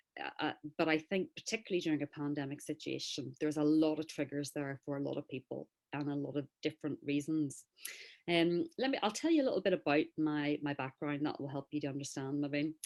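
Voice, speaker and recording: A very clean recording with a silent background and a dry, close sound free of echo. The intonation is fairly even, and the pace is fairly quick. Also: woman, very deep, low pitch for a woman. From Northern Ireland, Belfast. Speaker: author and speaker. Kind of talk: interview.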